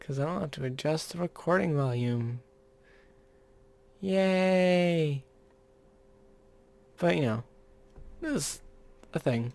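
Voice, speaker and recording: The speech is quiet and comes at a fairly slow pace. Long, frequent pauses break it up. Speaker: YouTuber drawing maps. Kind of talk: casual drawing commentary. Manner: quiet, getting quieter.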